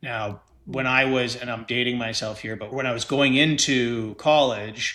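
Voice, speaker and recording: A Canadian-accented man speaks at a fairly slow pace with medium pitch. His tone is bright and sharp, and his intonation fairly even. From Canada. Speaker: estate lawyer. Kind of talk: podcast interview.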